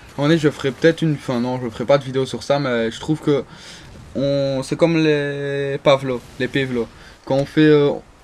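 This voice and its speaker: A man at a fairly high pitch and moderate pace over noticeable background noise. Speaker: gaming video creator. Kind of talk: gameplay commentary. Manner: halting, many fillers and restarts.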